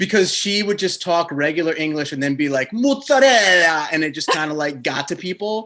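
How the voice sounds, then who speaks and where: With an American accent, a man talks at a fairly quick pace in a high pitch, his intonation lively. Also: hardly any pauses. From New Jersey. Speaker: podcast host. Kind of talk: interview.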